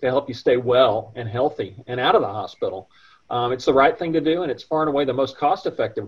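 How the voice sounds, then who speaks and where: A man talks at a very fast pace, somewhat breathy. His intonation is lively and the background quiet. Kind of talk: interview answer. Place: office. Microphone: video call.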